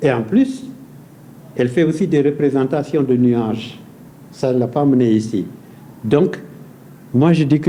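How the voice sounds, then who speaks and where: Speaking with a Senegalese accent, a man uses a fairly high pitch and ordinary pitch variation. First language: Pulaar (speaking French). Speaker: painter. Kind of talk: talk show interview. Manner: hesitant, repetitive.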